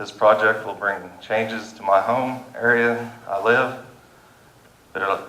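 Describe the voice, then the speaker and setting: A man at a medium pitch and moderate pace, fairly even in intonation, with a Kansas accent and audible room echo. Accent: Midwestern US, Kansas. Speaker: farmer and landowner speaking at public meeting. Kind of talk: public comment at county meeting. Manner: halting.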